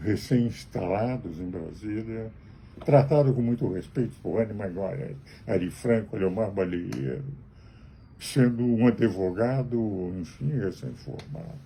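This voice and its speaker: Speaking fairly slowly, a man with a fairly low, somewhat breathy voice and a dark, mellow tone uses lively intonation. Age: 80s+. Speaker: lawyer. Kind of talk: spoken commentary to camera.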